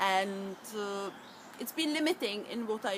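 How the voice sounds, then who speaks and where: Speaking in a Czech accent, a woman keeps a fairly slow pace and ordinary pitch variation. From Czech Republic. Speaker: EFT practitioner. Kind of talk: tutorial.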